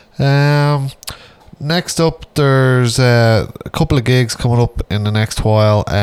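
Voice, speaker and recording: An ordinary speaking voice goes at a fairly slow pace with ordinary pitch variation and very even loudness. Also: man, medium pitch for a man. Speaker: radio host. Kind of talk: radio DJ patter introducing metal tracks. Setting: radio studio broadcast. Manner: casual, rambling, filled with ums and uhs; relaxed, chatty.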